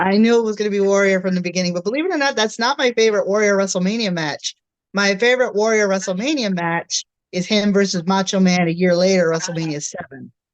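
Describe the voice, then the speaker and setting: At a very fast pace, a woman speaks at medium pitch with ordinary pitch variation. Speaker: wrestling photographer and fan. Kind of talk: casual chat.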